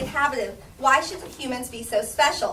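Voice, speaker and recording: In a raised, projected voice with an American accent, the speaker is heard with audible room echo and noticeable background noise. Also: woman. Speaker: Sunday school teacher. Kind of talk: Bible study lesson. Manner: fast; halting.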